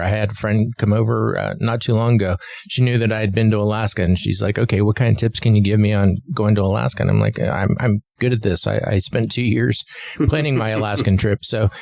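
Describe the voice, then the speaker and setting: With ordinary pitch variation, a man at a fairly low pitch races along at a very fast pace while noticeable background noise plays. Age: 60s. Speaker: podcast co-host. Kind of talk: casual chat. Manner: halting, many fillers and repeats.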